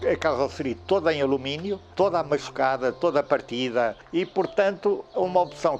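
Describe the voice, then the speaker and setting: The voice carries lively intonation at a moderate pace. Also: man. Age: 70s. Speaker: classic car owner and collector. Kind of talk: documentary interview.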